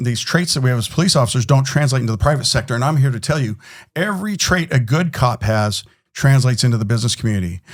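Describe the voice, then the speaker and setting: This man has a medium pitch, an American accent and a somewhat breathy voice. His tone is animated, with ordinary pitch variation. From California. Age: 60s. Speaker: security company executive, former police officer. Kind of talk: podcast interview.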